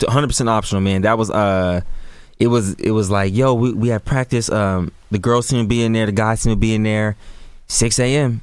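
A man at medium pitch with a plain, everyday voice and an American accent, fairly even intonation and a moderate pace on a very clean recording with a silent background. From Sacramento, California. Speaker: basketball content creator. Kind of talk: casual interview. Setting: studio.

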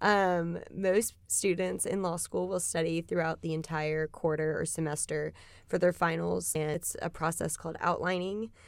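With a fairly low pitch, a woman talks at a moderate pace, hardly pausing, in an unremarkable speaking voice. The recording is very clean, with a silent background. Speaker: law student. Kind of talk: interview.

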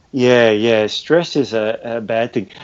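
Speaking at a medium pitch, a man talks with an Australian accent. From Australia, Melbourne (Sandringham). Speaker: natural health educator. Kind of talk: interview.

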